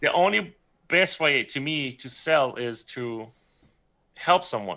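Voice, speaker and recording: With a Persian accent, a man speaks at a very slow pace in a bright, sharp tone, with fairly high pitch, lively intonation and big swings in loudness. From Iran. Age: 30s. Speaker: 3D creature artist. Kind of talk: casual interview chat on livestream. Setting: live stream video call.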